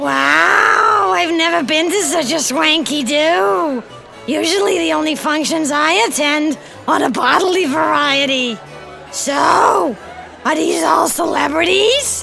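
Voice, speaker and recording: Clear music plays in the background as a woman does a cartoonish character voice. Her pitch is high and she speaks fairly slowly. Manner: crude, hesitant, folksy.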